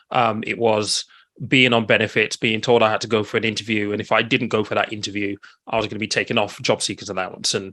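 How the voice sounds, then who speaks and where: A man's fairly low voice, bright and sharp in tone, flat and monotone at a very fast pace. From England, with Nigerian parents; lived in Nigeria from 8 to 18. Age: 40s. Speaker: financial advisor and coach. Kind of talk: webinar interview, personal story.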